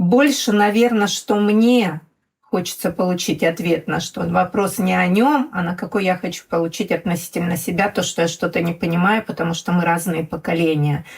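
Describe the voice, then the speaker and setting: Somewhat breathy, a woman speaks at a moderate pace with a fairly low pitch and ordinary pitch variation. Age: 60s. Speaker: mother of an LGBT child. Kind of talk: podcast conversation.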